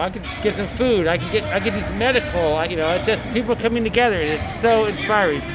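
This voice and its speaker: A man's high-pitched voice at a fairly quick pace, with ordinary pitch variation, audible room echo and music in the background. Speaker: protest livestreamer. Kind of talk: casual vlog narration at protest. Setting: outdoors at street protest. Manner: rambling, halting with fillers.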